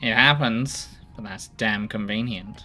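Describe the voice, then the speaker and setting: A rumbling, low put-on character voice at a fairly slow pace, over clear background noise. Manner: grumbling.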